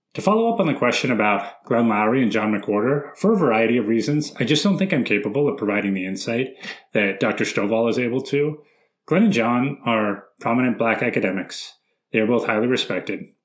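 Speaking with an American accent, a man has a plain, everyday voice at medium pitch with ordinary pitch variation. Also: fairly quick pace. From San Francisco, US West Coast. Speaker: podcast host, former teacher. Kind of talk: casual chat.

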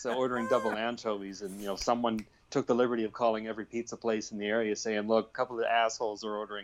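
A man speaks at a very fast pace and a medium pitch. His intonation is monotone and flat. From Canada. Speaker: author and bass player. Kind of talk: casual interview. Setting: remote call with headphones.

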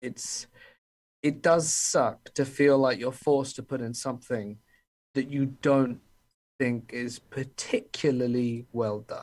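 A man with an English accent at a very slow pace, medium in pitch, with fairly even intonation. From England. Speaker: horror story narrator. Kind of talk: casual interview chat.

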